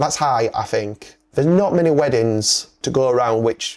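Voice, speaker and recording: Here is a man with a Yorkshire accent. His intonation is lively. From northern England, Yorkshire. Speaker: wedding videographer. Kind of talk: casual podcast chat. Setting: podcast. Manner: animated.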